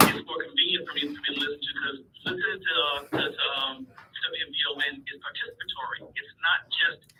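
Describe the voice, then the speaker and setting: This man speaks with an American accent. There is noticeable background noise. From Chicago, South Side. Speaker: caller. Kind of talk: radio call-in. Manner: halting, many repetitions.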